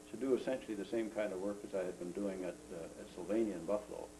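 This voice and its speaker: A man talking at a fairly quick pace with an Ontario accent, music in the background. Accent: Canadian English, Ontario. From Ontario, Canada. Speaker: retired engineer, grandfather. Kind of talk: casual family interview. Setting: home video. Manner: halting, many fillers.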